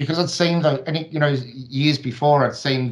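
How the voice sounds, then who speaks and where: A man talks in an Australian accent at a moderate pace. His pitch varies in an ordinary way over a quiet background. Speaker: flat earth video creator. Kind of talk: casual chat. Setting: video call. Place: home room. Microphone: studio mic.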